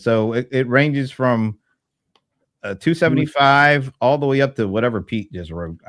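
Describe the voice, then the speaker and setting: An American-accented man at a medium pitch, with ordinary pitch variation and a quiet background. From Delaware, USA.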